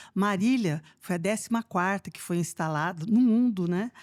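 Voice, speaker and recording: A woman of medium pitch speaks at a moderate pace in a dry, close sound with no echo, on a very clean recording with a silent background. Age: 60s. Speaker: retired police chief. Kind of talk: podcast interview. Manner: hesitant, many fillers.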